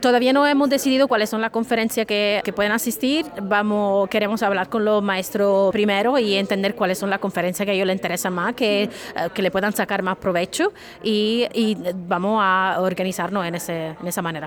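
Noticeable background noise sits behind a woman speaking with an Italian accent. Her pitch is medium with ordinary variation, and her pace fairly quick. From Italy, Sicily. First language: Italian (speaking Spanish). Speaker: professor. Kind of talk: interview. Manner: halting, many fillers and repetitions.

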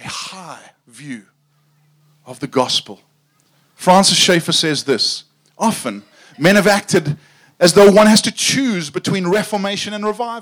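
A man with a South African accent talks at a fairly slow pace and a high pitch, using lively intonation and long, frequent pauses. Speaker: preacher. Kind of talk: sermon. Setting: tent with audience.

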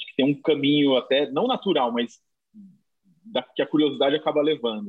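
Lively intonation runs through the fairly high-pitched voice of a man. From interior of São Paulo state, Brazil. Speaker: street artist and muralist. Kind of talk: interview. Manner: halting, many repetitions.

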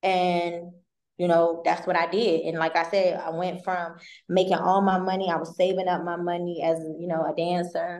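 At a moderate pace, a woman with an American accent speaks in a fairly low pitch with monotone, flat intonation, and audible room echo is present. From Maryland. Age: 20s. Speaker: credit repair consultant and realtor. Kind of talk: casual interview.

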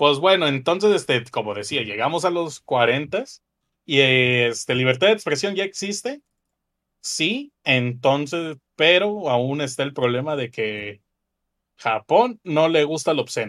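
A man with a plain, everyday voice and a fairly high pitch talks at a fairly slow pace with lively intonation. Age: 20s. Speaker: podcast co-host. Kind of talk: casual chat.

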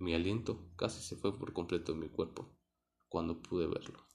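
Somewhat breathy, a man with a very deep, low pitch talks at a moderate pace with fairly even intonation. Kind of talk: scripted horror narration, first-person ghost story. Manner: suspenseful, hushed, building tension.

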